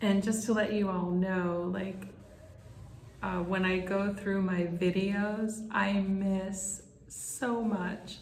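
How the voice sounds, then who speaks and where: A woman talks at a very slow pace in a monotone, flat intonation. Audible room echo and noticeable background noise fill the recording. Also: medium pitch for a woman. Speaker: spiritual medium. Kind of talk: channeling session monologue. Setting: conference room. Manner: calm.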